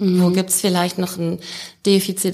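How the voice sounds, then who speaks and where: Over noticeable background noise, a woman speaks at a fairly low pitch in a monotone with flat intonation. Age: 40s. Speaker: leadership expert. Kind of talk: casual interview.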